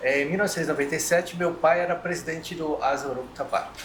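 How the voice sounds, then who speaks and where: Audible room echo and noticeable background noise surround a man with a fairly high pitch. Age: 60s. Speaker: community association member. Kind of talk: round-table discussion.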